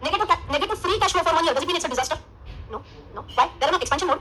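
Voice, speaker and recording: A woman with an Indian accent speaks very fast in a raised, projected voice at an extremely high pitch, her tone animated and her pitch swinging very widely. There is noticeable background noise. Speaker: finance teacher. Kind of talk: lecture.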